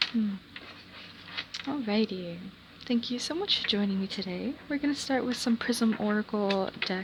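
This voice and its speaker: Noticeable background noise sits behind a woman with a medium pitch. She speaks at a moderate pace with ordinary pitch variation. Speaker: tarot reader. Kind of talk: tarot reading. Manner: stuttering a little; casual, filler-heavy.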